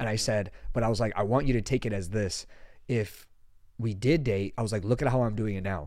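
A man's normal speaking voice, fairly low in pitch, with ordinary pitch variation at a fairly quick pace. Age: 20s. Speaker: podcast host. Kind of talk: show introduction; casual chat.

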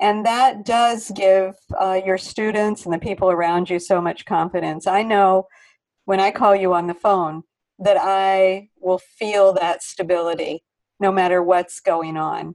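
Against a quiet background, a woman speaks with a normal speaking voice at a medium pitch. Her pace is fairly slow and her intonation fairly even. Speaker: podcast host and yoga studio teacher. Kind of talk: interview.

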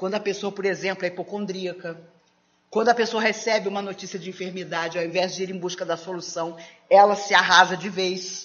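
Fairly quick and at medium pitch, a woman talks in a plain, everyday voice. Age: 60s. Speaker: spiritist lecturer. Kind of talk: lecture.

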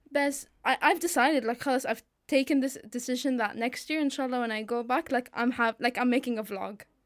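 Pitched high, a woman rushes along at a fairly quick pace with hardly any pauses. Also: fairly even intonation. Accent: Arabic. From Syria. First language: Arabic. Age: 20s. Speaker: law student. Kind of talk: casual chat.

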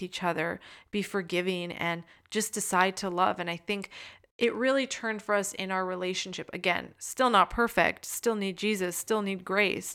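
A woman speaks at a medium pitch and moderate pace in a bright, sharp tone with fairly even intonation. The recording is very clean, the background silent. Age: young. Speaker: podcast co-host. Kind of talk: casual chat.

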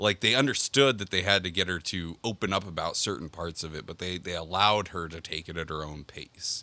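A man's very deep, low voice with a bright, sharp tone. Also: ordinary pitch variation, fairly quick pace, big swings in loudness, very clean recording, silent background. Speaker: anime podcaster. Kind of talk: casual chat. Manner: repeats words when starting sentences.

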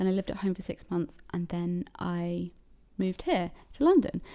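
This woman speaks with a southern English accent. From Cambridge, England. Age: 20s. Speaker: podcast host. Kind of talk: solo casual monologue. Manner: chatty, rambling with fillers.

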